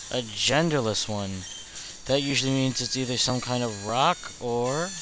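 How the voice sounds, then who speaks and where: Over noticeable background noise, a man talks at a medium pitch and moderate pace with ordinary pitch variation. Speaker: let's play gamer. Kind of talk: casual gameplay commentary. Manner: low-energy, deadbeat.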